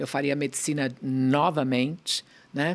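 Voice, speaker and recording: A woman talks at a very slow pace. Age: 60s. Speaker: pediatrician and pharmaceutical executive. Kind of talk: interview.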